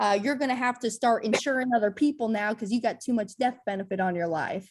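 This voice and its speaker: Somewhat breathy and fairly high, a woman's voice races at a very fast pace with ordinary pitch variation. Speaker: financial educator. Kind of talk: Q&A session. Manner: halting, repeats words.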